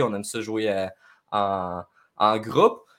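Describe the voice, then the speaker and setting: On a very clean recording with a silent background, a man speaks at medium pitch with a Quebec accent. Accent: Québécois French. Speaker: gaming YouTuber. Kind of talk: casual chat.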